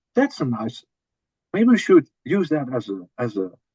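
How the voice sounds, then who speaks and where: A man with a Dutch accent speaks at a moderate pace with very wide pitch swings, in a dry, close sound with no echo. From Netherlands. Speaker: metal band drummer. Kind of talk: interview. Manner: halting, with repetitions.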